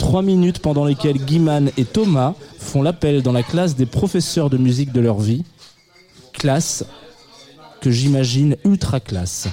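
A fairly high-pitched man with very even loudness and long, frequent pauses, over noticeable background noise. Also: lively intonation. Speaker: radio host. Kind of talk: live radio show chat with music presentation. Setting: studio with live audience, also streamed on video. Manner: halting, many repetitions.

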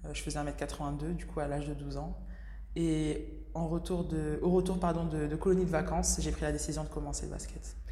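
Noticeable background noise and audible room echo surround the recording. A woman talks at a moderate pace. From Senegalese heritage. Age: 20s. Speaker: professional basketball player. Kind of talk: interview. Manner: hesitant, many fillers.

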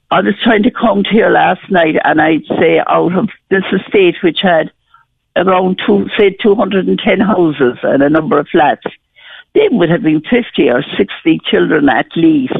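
In a Cork accent, a woman talks at a fairly slow pace with a medium pitch, lively intonation and very even loudness. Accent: Cork Irish. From rural Ireland, County Cork area. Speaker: bereaved mother. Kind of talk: radio phone-in testimony.

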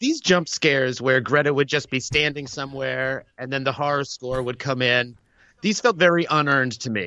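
A man with a normal speaking voice and an American accent, moderate pace and ordinary pitch variation. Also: medium pitch for a man. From Boston. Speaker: podcaster and show patron. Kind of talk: casual chat. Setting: remote call.

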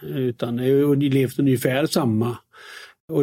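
A man speaks with a dark, mellow tone. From Sweden, Västergötland. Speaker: investment company founder and author. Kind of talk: interview. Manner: halting with repetitions.

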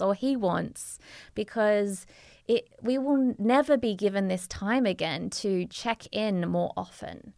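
A woman speaks at a fairly slow pace, her pitch fairly high and her pitch variation ordinary. The recording is very clean, with a silent background. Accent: Australian. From Australia. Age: 30s. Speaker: entrepreneur and yoga teacher. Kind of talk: casual interview. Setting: studio.

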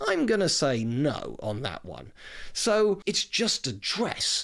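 A man speaks in a British accent at a fairly slow pace with very wide pitch swings. The recording is very clean, with a silent background. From Britain. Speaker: history podcast host. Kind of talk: scripted-style solo talk about film history. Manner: conversational, informal.

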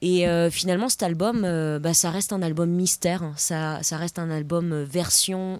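The woman's fairly low voice keeps a fairly even intonation. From France, Paris. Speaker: singer-songwriter. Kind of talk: casual chat.

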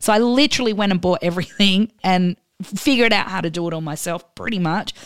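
Speaking fairly quickly with an Australian accent, a woman keeps a medium pitch and ordinary pitch variation. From Australia, Adelaide. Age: 40s. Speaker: DJ. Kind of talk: casual chat interview.

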